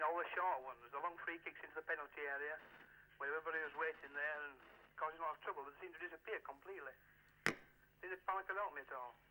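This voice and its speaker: In a Yorkshire accent, a man talks very fast at a fairly high pitch, with fairly even intonation and long, frequent pauses. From Yorkshire, Morley. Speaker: caller. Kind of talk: phone-in question.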